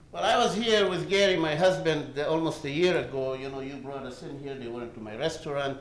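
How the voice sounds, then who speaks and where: A man with lively intonation, amid noticeable background noise and audible room echo. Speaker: award recipient giving acceptance speech. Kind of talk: acceptance speech. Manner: animated.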